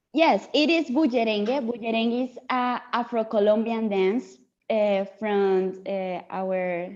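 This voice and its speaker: A fairly slow pace in a Spanish accent, with ordinary pitch variation and big swings in loudness. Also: woman, fairly high pitch for a woman. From Latin America. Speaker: student. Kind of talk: class discussion.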